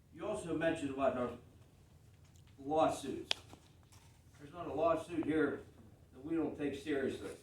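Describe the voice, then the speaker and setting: Audible room echo surrounds a man with an American accent who uses ordinary pitch variation. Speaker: township supervisor. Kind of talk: public meeting rebuttal. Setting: township board meeting. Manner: loud; animated.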